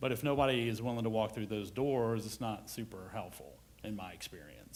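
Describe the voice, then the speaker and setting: Speaking with an American accent, a man talks at a very fast pace. His pitch is medium, with ordinary variation. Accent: Southern US, held back. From US South. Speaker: HR executive. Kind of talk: conference presentation.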